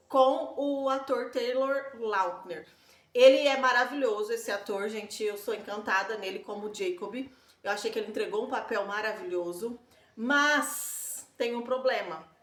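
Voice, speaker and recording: Here a woman talks at a fairly slow pace, her pitch high and her intonation lively. Audible room echo surrounds her voice. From Brazil, countryside. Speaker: book-series vlogger. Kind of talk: casual vlog talk. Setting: home balcony. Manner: hesitant, many fillers.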